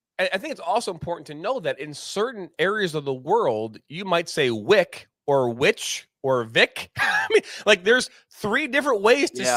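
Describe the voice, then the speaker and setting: Speaking with a Detroit accent, a man talks at a moderate pace and a high pitch, with very wide pitch swings. His loudness swings widely, in a dry, close sound with no echo. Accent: Midwest Detroit. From Detroit, Midwest US.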